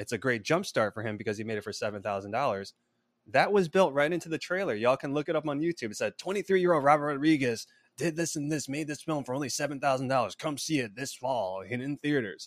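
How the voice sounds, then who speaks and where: A man talking very fast at a fairly high pitch, lively intonation, dry close sound with no echo, very clean recording with a silent background. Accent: American. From US Midwest (Chicago suburbs, Illinois). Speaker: filmmaker and screenwriter. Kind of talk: interview.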